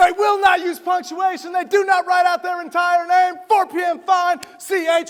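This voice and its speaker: With crowd noise in the background, a man speaks at an extremely high pitch with monotone, flat intonation at a moderate pace. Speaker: motivational speaker. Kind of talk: keynote speech to a live audience. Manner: high energy, humorous.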